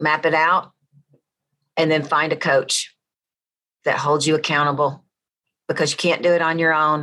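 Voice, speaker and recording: A woman with a Southern accent speaks in a very deep, low voice with a bright, sharp tone. Her loudness stays very even, with long, frequent pauses. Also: moderate pace. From US South. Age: 50s. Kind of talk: interview testimony. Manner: animated.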